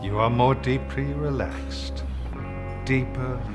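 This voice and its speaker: Clear music plays in the background. A man speaks at a very slow pace. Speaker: actor. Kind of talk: parody relaxation tape read. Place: bar.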